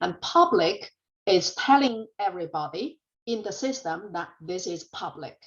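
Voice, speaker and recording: A woman with a Chinese accent speaks with very wide pitch swings. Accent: Chinese accent, noticeable. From China. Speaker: college programming instructor. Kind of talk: lecture. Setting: classroom.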